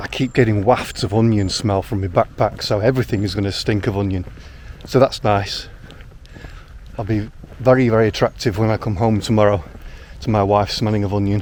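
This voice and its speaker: A man speaks with a northern English accent and fairly even intonation. Long, frequent pauses break his speech over noticeable background noise. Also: fairly low pitch for a man, fairly quick pace. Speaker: outdoor vlogger. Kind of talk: vlog narration. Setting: outdoors. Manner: fast.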